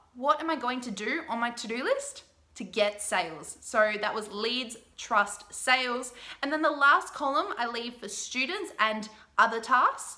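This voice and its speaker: A woman's high-pitched voice at a fairly slow pace, with lively intonation and big swings in loudness. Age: 20s. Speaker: business coach. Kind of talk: tutorial.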